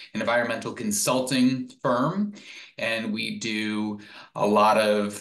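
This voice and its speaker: A man speaks against a quiet background with audible room echo. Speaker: presenter. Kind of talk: webinar presentation. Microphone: webcam.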